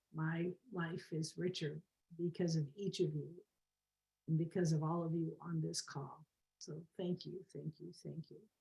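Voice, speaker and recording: A woman with a dark, mellow tone and vocal fry speaks fairly slowly in a flat monotone, with long, frequent pauses and big swings in loudness. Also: fairly low pitch for a woman. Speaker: co-host of a positive psychology talk. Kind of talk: guided meditation; casual chat. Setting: video call. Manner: not usually soft-spoken. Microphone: too quiet.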